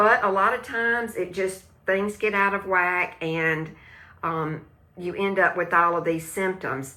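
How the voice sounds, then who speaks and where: The woman's voice sits at a medium pitch with a bright, sharp tone. She speaks at a fairly slow pace. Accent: Southern US. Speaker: live stream host, wellness product seller. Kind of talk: casual live stream chat about gut health. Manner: hesitant, many fillers and restarts; animated, talks with hands.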